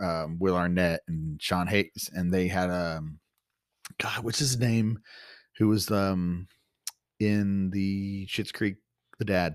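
A man with a slight Texan accent speaks at a very slow pace, his very deep, low pitch held in fairly even intonation. Long, frequent pauses break up his speech on a very clean recording with a silent background. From Texas. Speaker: podcast host. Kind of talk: casual chat between co-hosts.

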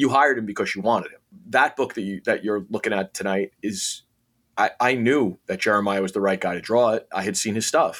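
On a very clean recording with a silent background, a man with fairly low pitch uses an ordinary speaking voice. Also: ordinary pitch variation, fairly quick pace. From New York City, Queens. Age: 50s. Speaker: comic book writer. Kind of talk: interview.

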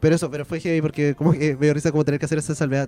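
At a very fast pace, a man with a fairly high pitch is talking. Background noise is noticeable, and the sound is dry and close with no echo. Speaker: podcast co-host. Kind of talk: casual chat. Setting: bar.

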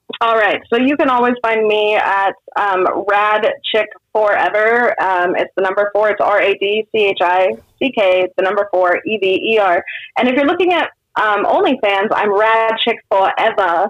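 A woman speaks with a Californian accent at a fairly high pitch. Her loudness stays very even. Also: ordinary pitch variation, moderate pace. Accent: Californian American English. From Sacramento, California. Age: 30s. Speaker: comedian. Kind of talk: casual chat.

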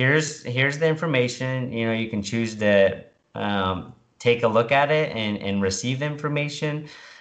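Audible room echo surrounds a man who talks fairly slowly with ordinary pitch variation. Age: 30s. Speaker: military service member and keto dieter. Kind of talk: casual interview.

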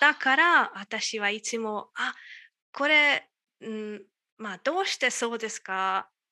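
A woman's bright, sharp, fairly high-pitched voice with a Hungarian accent against a quiet background. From Hungary, Budapest area. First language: Hungarian (speaking Japanese). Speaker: astronomer, Japanese learner. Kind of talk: casual interview. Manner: halting.

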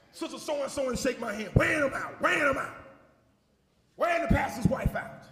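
A man's extremely high, animated voice in an American accent, fairly quick yet broken by long, frequent pauses, with audible room echo. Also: ordinary pitch variation. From Joliet, Illinois. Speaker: preacher. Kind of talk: sermon.

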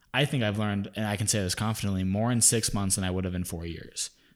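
On a very clean recording with a silent background, a man with a normal speaking voice speaks at a fairly low pitch with fairly even intonation. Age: 20s. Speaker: podcast host, wedding business owner. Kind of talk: casual chat; scripted outro.

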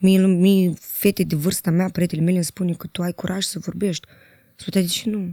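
In a dry, close recording with no echo and a silent background, very clean overall, a woman speaks at a fairly quick pace and medium pitch, her tone dark and mellow and her intonation flat and monotone. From Moldova. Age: 30s. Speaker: journalist. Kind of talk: casual chat.

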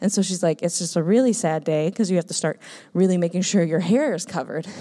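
This woman has an American accent and a fairly low pitch with ordinary variation. Her tone is dark and mellow, and the recording is very clean with a silent background. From Minnesota, US. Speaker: missionary. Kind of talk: testimony. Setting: church.

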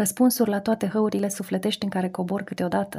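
On a very clean recording with a silent background, a woman speaks fairly quickly at medium pitch, somewhat breathy, with a dark, mellow tone. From Romania. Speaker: radio columnist. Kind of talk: scripted narration. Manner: reflective.

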